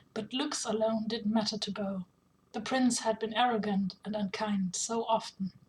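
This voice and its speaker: Somewhat breathy, fairly high-pitched woman's voice in a monotone, flat intonation at a moderate pace. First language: not English. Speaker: author reading own fanfiction. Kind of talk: reading aloud.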